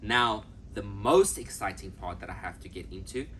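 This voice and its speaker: Audible room echo around a man's voice. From South Africa. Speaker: travel vlogger. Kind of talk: casual travel vlog. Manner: fast; animated.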